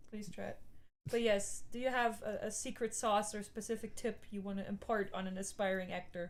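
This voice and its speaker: This woman's voice sits fairly high in pitch. She talks at a fairly quick pace, her intonation fairly even. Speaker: voice actor. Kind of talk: casual chat. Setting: live stream. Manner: fast.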